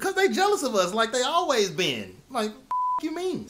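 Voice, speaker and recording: Sound effects play in the background as a high-pitched, put-on character voice goes at a moderate pace. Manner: heated, confrontational.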